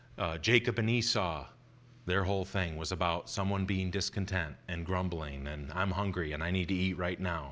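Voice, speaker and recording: A man with a very deep, low pitch at a moderate pace. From local to this church's town. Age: 40s. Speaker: preacher. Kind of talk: sermon. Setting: church. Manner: hesitant, many fillers.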